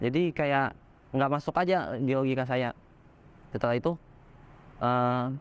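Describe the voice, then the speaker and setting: Talking at a fairly slow pace, a man uses a fairly high pitch. The sound is dry and close, with no echo. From Bangka Belitung, Indonesia, Chinese-Indonesian. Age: 20s. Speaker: religious convert. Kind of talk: testimony interview. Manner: casual with hesitations and self-corrections.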